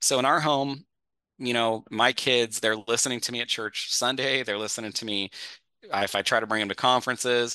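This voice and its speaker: Very fast speech comes from a man with a bright, sharp tone. The sound is dry and close with no echo, over a quiet background. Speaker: pastor and author. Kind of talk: casual chat.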